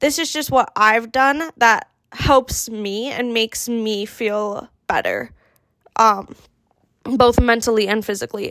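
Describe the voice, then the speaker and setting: A woman with a fairly high pitch speaks at a very slow pace, the sound dry and close with no echo. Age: 20s. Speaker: podcast host. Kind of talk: casual solo chat. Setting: home office. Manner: hesitant, many fillers.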